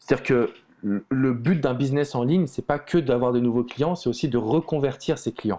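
Speech comes at a moderate pace in a dark, mellow tone. Pitch varies in an ordinary way. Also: man, medium pitch for a man. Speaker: love coach. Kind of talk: casual interview.

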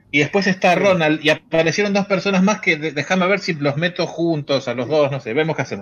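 This is an ordinary speaking voice with ordinary pitch variation. It moves at a fairly quick pace with hardly any pauses. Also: man, fairly high pitch for a man. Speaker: podcast host. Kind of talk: live stream chat with callers. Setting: live video stream.

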